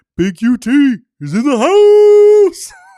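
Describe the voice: A man performs a put-on character voice at an extremely high pitch. His pitch swings very widely.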